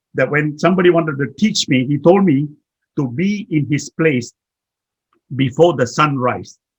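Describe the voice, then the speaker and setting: Somewhat breathy and fairly high-pitched, a man talks with lively intonation. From Malaysia, Kuala Lumpur. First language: Chinese. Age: 80s+. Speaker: management consultant and motivational speaker.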